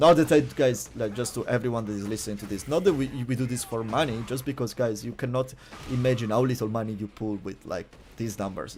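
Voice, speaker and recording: Talking at a very fast pace, a man speaks with an Italian accent and ordinary pitch variation. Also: medium pitch for a man. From Italy. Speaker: streamer. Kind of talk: casual chat. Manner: halting, many fillers.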